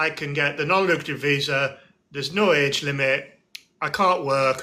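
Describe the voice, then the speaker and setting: A man speaks at a moderate pace with an English accent, his pitch fairly high for a man. His tone is bright and sharp, with ordinary pitch variation. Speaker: barrister, host. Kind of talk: casual expert discussion.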